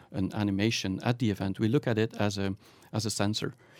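A man with a Flemish accent talks at a fairly quick pace in a fairly low pitch. His intonation is fairly even, and the sound is dry and close with no echo. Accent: Belgian (Flemish) English. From Belgium. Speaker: startup founder and managing director. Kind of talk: interview.

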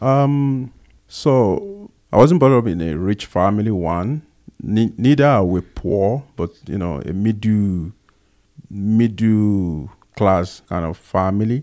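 A man with a Nigerian accent, fairly low pitch, and dark, mellow tone, at a very slow pace with lively intonation. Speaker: podcast co-host. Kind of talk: casual chat.

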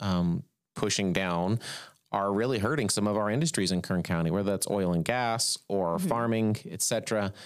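A man with an American accent speaks at a moderate pace in a fairly low pitch with ordinary pitch variation. His loudness stays very even on a very clean recording with a silent background. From California, Bakersfield. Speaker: venture investor. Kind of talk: casual interview.

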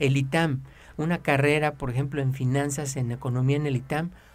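A man's somewhat breathy, fairly high-pitched voice with a Mexican accent. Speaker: personal finance advisor. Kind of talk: radio advice talk.

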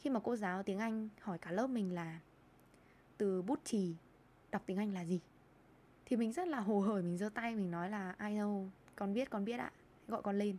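With a dark, mellow tone and ordinary pitch variation, a woman talks at a moderate pace, leaving long, frequent pauses. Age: 20s. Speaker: podcast host and lifestyle blogger. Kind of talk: solo podcast monologue.

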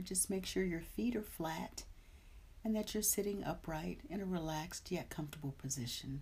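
A woman speaks with a dark, mellow tone, somewhat breathy and fairly low in pitch. Her intonation is lively. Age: 50s. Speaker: meditation teacher. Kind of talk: live-streamed guided meditation, gently leading breathwork and body awareness; casual chat greeting live viewers. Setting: live stream. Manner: slow, soothing, soft-spoken meditation guidance; warm, chatty and upbeat.

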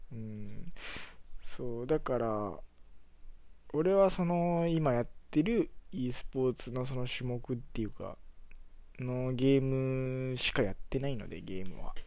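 Speaking in a relaxed tone, a man keeps a fairly slow pace at a medium pitch with lively intonation. His speech has long, frequent pauses. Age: 20s. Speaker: podcaster. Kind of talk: casual solo monologue. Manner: relaxed, filler-heavy.

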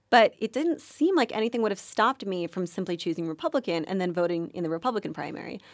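In a very clean, dry and close recording with a silent background and no echo, a woman with an American accent talks very fast at a medium pitch with hardly any pauses. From New York, US. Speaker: journalism student. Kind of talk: casual interview.

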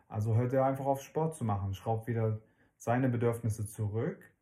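This man has a dark, mellow tone and sounds somewhat breathy. He talks at a fairly quick pace with ordinary pitch variation. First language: not German (speaking German). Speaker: parenting podcast co-host. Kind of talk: casual chat.

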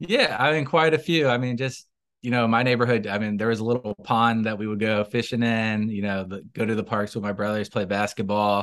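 A man's plain, everyday voice in an American accent, medium in pitch with ordinary pitch variation, at a fairly quick pace with hardly any pauses over a quiet background. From Tallahassee, Florida. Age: 30s. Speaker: city commissioner, politician. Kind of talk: interview.

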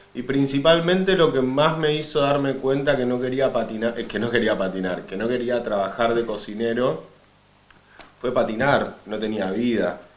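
A man's medium-pitched voice amid noticeable background noise and audible room echo. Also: ordinary pitch variation, moderate pace. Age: 30s. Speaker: skateboarder. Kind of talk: casual chat.

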